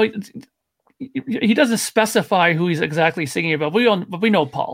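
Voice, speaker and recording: Speaking fairly quickly with lively intonation, a man has a plain, everyday voice. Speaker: panelist, guitar player. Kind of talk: casual chat. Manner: blunt, profane.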